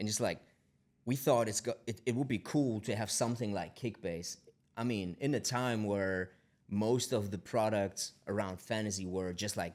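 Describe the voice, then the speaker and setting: The speaker has a German accent and talks at a moderate pace with ordinary pitch variation. The recording is very clean, with a silent background. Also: man, fairly low pitch for a man. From Germany. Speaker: tech company founder. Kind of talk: podcast interview. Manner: halting, many repetitions.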